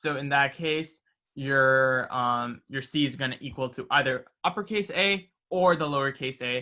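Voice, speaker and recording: A man with a normal speaking voice and an American accent, fairly high in pitch with ordinary pitch variation, at a fairly slow pace. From New Jersey, US. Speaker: student club officer teaching coding. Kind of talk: tutorial.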